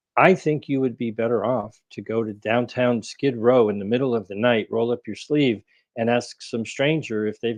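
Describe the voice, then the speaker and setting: At a moderate pace, a man with a normal speaking voice talks at medium pitch with fairly even intonation over a quiet background. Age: 60s. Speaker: researcher and author. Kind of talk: interview.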